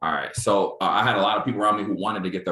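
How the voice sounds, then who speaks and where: Words pour out of this man at a very fast rate. He has a bright, sharp tone. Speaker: trading trainer. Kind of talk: online training presentation.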